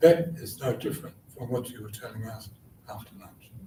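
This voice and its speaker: Somewhat breathy male voice with ordinary pitch variation and audible room echo. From New Zealand (Taranaki, Māori). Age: 70s. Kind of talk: conference panel talk.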